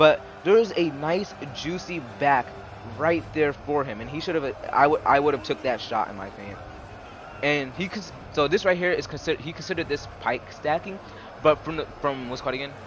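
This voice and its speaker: A man speaks at a fairly quick pace in a fairly high pitch, with lively intonation, big swings in loudness, and noticeable background noise. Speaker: gaming youtuber. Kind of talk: gameplay commentary. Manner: fast; halting.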